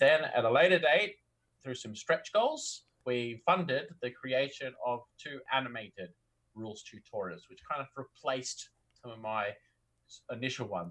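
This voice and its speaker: Lively in intonation, a man speaks with an Australian accent. His pace is moderate. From country Australia. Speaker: tabletop game designer, interview guest. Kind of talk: casual conversational. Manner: enthusiastic, energetic; chatty, natural conversationalist.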